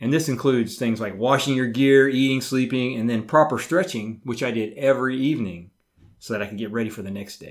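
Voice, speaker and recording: An unremarkable speaking voice belongs to a man talking at a fairly quick pace in a medium pitch, with ordinary pitch variation and big swings in loudness. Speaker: recreational ultra athlete, military veteran, retired tech worker. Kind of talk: casual chat.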